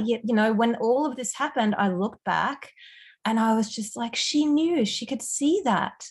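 A woman with an Australian accent speaks at a moderate pace in a high voice, with ordinary pitch variation. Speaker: empowerment and mindset coach. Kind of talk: casual chat.

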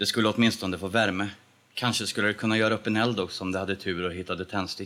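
The clip features an unforced reading voice whose intonation stays fairly even.

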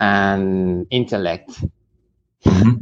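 Someone speaks with a Spanish accent against a quiet background. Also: man. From Mexico, eastern Michoacán. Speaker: musician and martial artist. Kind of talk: interview. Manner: halting.

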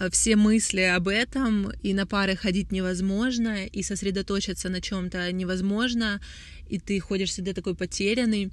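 A woman speaks in a monotone, flat way on a very clean recording with a silent background. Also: medium pitch for a woman, moderate pace. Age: 20s. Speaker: brand founder and creative director. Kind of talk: solo podcast monologue.

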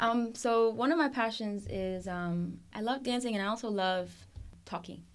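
A woman with an ordinary speaking voice talks at a moderate pace, her fairly high pitch showing ordinary variation. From Puerto Rico, then various US states (military family). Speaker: college student, resident assistant. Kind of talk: casual interview. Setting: studio.

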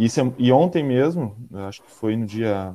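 The man's voice has a dark, mellow tone. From Porto Alegre, southern Brazil. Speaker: delivery worker, organizer. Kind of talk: casual interview.

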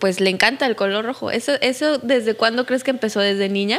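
In a very clean recording with a silent background, a woman talks with a Mexican accent. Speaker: podcast host. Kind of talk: casual interview.

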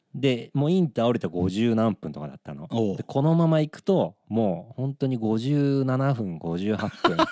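Speaking fairly slowly with hardly any pauses, a man at medium pitch uses a dark, mellow tone, very wide pitch swings and big shifts in loudness, all in a dry, close recording with no echo. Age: 40s. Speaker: band musician and podcast co-host. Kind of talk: casual chat.

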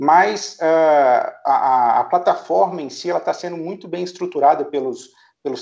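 At a fairly slow pace, a man speaks at a fairly high pitch with ordinary pitch variation. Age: 30s. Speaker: startup founder and business director. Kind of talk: interview. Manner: hesitant, many filler sounds.

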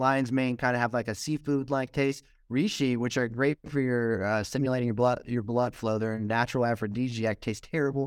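A man with an American accent speaks at medium pitch with fairly even intonation, very even loudness and hardly any pauses. The recording is very clean, with a silent background. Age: young. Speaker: mushroom farm founder. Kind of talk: casual interview. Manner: halting, many fillers.

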